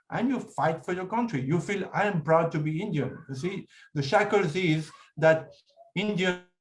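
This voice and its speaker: A man with a French accent speaks at a high pitch. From France. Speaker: writer and speaker on India. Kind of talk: talk with audience Q&A. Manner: hesitant, many fillers.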